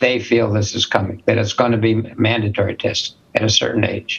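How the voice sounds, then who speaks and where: The speaker has an American accent. Noticeable background noise runs under the voice. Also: man. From US Midwest, Minneapolis, Minnesota. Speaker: spine surgeon and medical school dean. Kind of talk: interview. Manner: conversational, with fillers.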